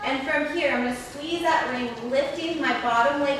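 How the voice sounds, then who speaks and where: A woman speaks at a fairly slow pace in a high voice, with ordinary pitch variation. The room echoes strongly, and background noise is noticeable. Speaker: fitness instructor. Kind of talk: guided reformer Pilates class, instructing live exercises. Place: gym.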